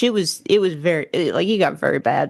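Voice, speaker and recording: A woman with a Southern US accent and a fairly low pitch speaks at a fairly quick pace with lively intonation over a quiet background. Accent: Southern accent, kept. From US South, Appalachia. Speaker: podcast guest, theologian. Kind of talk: casual chat.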